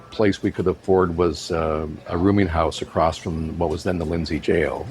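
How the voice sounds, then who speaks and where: Over background music, a man speaks at a moderate pace, his very deep, low voice held in a flat monotone. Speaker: radio broadcaster and author. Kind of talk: interview answer, personal life story. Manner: conversational, reflective.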